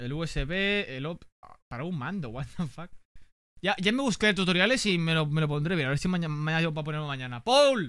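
The bright, sharp tone swings widely in loudness, with a dry sound that has no echo, over a quiet background. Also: man. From Spain. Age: 20s. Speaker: gaming streamer. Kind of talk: casual unboxing chat with viewers. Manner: animated. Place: home room. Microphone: studio mic.

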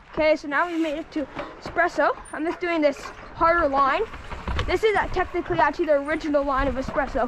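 A woman with an extremely high pitch and ordinary pitch variation talks at a very fast pace amid noticeable background noise. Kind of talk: casual ride commentary. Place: forest. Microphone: phone near.

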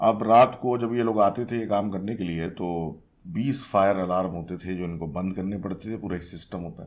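Here a man talks at a moderate pace with a fairly low pitch. His pitch variation is ordinary. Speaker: podcast host. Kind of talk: storytelling narration. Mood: calm, spooky storytelling. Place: studio. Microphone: studio mic.

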